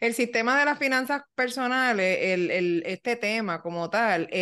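The voice has a bright, sharp tone and ordinary pitch variation at a moderate pace. The background is quiet. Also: woman. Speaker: podcast co-host. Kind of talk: casual chat.

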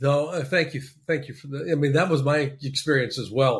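A man's somewhat breathy, fairly high voice at a fairly quick pace. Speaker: podcast host. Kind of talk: interview hosting. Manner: hesitant, filler-heavy.

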